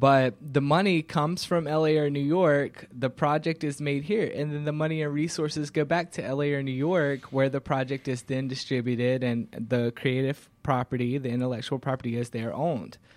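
A man with a plain, everyday voice, fairly high in pitch, speaks with an American accent at a moderate pace, with fairly even intonation and hardly any pauses. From Georgia, US South (Covington). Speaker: film and TV producer, company founder. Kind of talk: talk show interview. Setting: studio.

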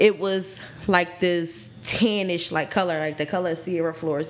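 Over noticeable background noise, the speaker talks at a moderate pace with ordinary pitch variation. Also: woman. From Philadelphia. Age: 20s. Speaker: podcast co-host. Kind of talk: casual chat.

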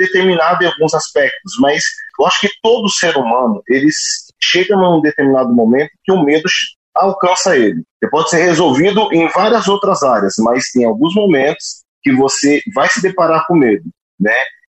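Very even loudness at a moderate pace. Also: man. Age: 30s. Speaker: social entrepreneur. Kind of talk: interview conversation.

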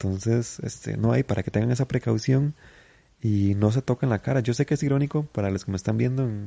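Recorded dry and close with no echo, a man speaks at a fairly low pitch in a dark, mellow tone, somewhat breathy, with ordinary pitch variation. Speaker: comedian podcaster. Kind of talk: casual monologue.

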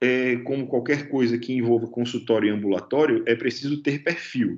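This is a man speaking. His pitch is medium. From Natal, Brazil (Northeast). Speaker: anesthesiologist. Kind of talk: interview. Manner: halting, with frequent repetitions.

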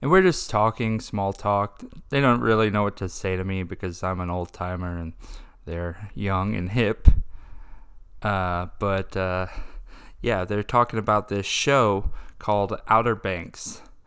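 A man's fairly low voice in a Texan accent, fairly slow and fairly even in intonation, in a very clean recording against a silent background. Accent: Texan American. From Texas. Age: 20s. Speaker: podcast host. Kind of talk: casual monologue.

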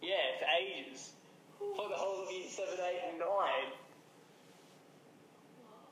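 Very slow male speech, high in pitch, with ordinary pitch variation, big swings in loudness, and noticeable background noise. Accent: Australian. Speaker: podcast host. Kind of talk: casual chat. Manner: teasing, joking.

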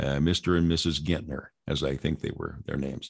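At a moderate pace, a man with an American accent speaks over a quiet background. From Southern California. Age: 70s. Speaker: radio host. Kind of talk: casual interview, personal storytelling.

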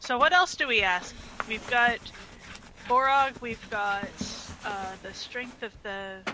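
Speaking at a very slow pace, a woman leaves long, frequent pauses. Her pitch is fairly high with ordinary variation, and background noise is noticeable. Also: big swings in loudness. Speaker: tabletop game player. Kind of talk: casual game chat.

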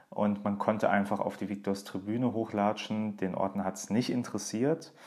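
An ordinary speaking voice from a man, fairly low in pitch, with fairly even intonation at a moderate pace, on a very clean recording with a silent background. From Saarland, Germany. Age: 20s. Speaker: podcast host, journalist and author. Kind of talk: personal monologue podcast.

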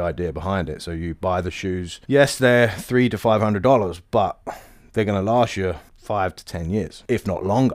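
In a very clean recording with a silent background, a man with an East Anglian accent talks with ordinary pitch variation. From East Anglia, England (Bury St Edmunds). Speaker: cobbler and shop owner. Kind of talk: interview storytelling. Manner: casual, with fillers.

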